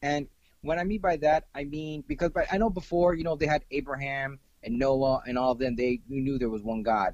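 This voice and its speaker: Speaking at a moderate pace, a man uses a plain, everyday voice with a fairly high pitch and ordinary pitch variation. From US South, Florida (Miami). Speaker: film director. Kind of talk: casual chat.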